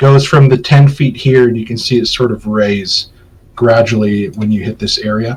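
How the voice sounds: What you hear is a natural reading voice.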